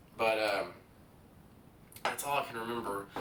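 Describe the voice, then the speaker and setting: A man speaks at a fairly low pitch with fairly even intonation. Audible room echo surrounds his voice. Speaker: craps video creator. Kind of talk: casual vlog talk while playing craps. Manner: fast; hesitant, many fillers.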